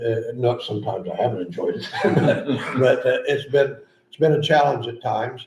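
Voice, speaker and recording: With audible room echo and noticeable background noise, a man holds a fairly even intonation. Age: 80s+. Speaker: drainage board chair. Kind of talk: public meeting. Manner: halting.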